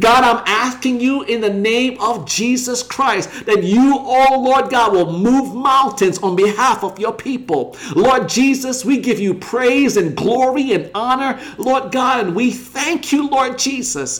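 A man's voice sits at an extremely high pitch, moving at a fairly slow pace with hardly any pauses. His pitch varies in an ordinary way, and there is noticeable background noise. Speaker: online prayer leader. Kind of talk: fervent intercessory prayer, petitioning God for healing and deliverance. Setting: livestream broadcast. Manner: impassioned and repetitive, piling up 'Lord God' and 'oh God' refrains; rising, declarative cadence building to proclamations of God's power.

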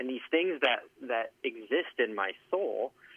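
This man has an unremarkable speaking voice pitched fairly high. His intonation is lively. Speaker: guest, former coworker and ultra runner. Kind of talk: casual conversational interview. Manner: joking, teasing.

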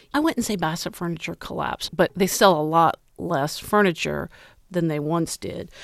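On a very clean recording with a silent background and a dry, close sound with no echo, a woman with an American accent speaks in a plain, everyday voice at fairly low pitch, ordinary pitch variation and a moderate pace. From US Midwest, Ohio. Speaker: journalist and author. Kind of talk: interview.

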